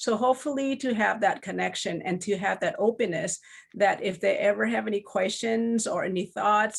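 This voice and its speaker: Woman with a Lao accent, medium pitch and ordinary pitch variation, on a very clean recording with a silent background. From Laos. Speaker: children's book author. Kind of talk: panel discussion. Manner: halting.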